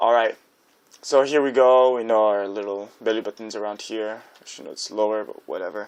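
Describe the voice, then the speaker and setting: The delivery is fairly quick, with big swings in loudness. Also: man, medium pitch for a man, fairly even intonation. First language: not English. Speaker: art tutorial creator. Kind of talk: tutorial. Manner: casual, halting with fillers.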